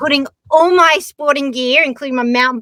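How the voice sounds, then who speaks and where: In an Australian accent, a woman projects a raised voice at a high pitch with a bright, sharp tone, recorded with a dry, close sound and no echo. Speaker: skier and adventurer. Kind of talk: casual chat.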